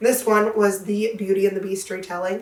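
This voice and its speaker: A woman's fairly high voice at a moderate pace, with noticeable background noise. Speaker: book reviewer on her channel. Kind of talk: casual vlog talk.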